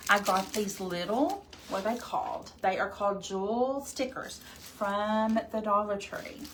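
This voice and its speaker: A woman with a slight Arkansas accent, medium in pitch, fairly slow with hardly any pauses and ordinary pitch variation, amid audible room echo and noticeable background noise. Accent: slight Arkansas Southern. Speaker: crafting livestream host. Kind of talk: live crafting tutorial. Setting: livestream. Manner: casual, chatty.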